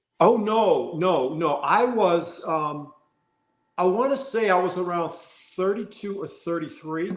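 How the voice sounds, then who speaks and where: Speaking at a fairly slow pace with an American accent, a man uses a high pitch and ordinary pitch variation, with audible room echo around him. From US Midwest, southwest Missouri (Joplin). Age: 60s. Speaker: actor. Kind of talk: casual interview chat. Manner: halting, many fillers and repeats.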